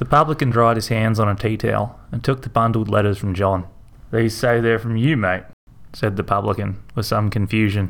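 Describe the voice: Reading aloud, plain, the intonation fairly even throughout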